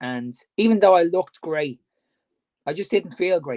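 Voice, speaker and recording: Moderate pace and a dark, mellow tone. The sound is dry and close, with no echo. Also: man. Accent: Dublin. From Ireland, Dublin. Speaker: fitness coach. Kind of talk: casual chat.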